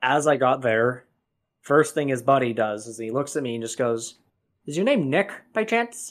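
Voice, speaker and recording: On a very clean recording with a silent background, a man with a Canadian accent and an unremarkable speaking voice talks at a moderate pace and medium pitch, with big swings in loudness. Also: lively intonation. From Canada. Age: 20s. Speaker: storyteller sharing personal encounters. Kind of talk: casual storytelling interview.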